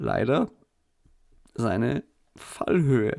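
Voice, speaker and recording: Vocal fry colors a man's medium-pitched voice as he speaks with lively intonation. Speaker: podcast host. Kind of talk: casual chat. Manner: halting, many fillers.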